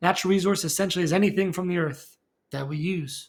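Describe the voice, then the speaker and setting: A man's high voice with ordinary pitch variation, spoken at a very fast pace. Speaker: science teacher. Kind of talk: recorded lecture for students. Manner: casual, conversational with fillers.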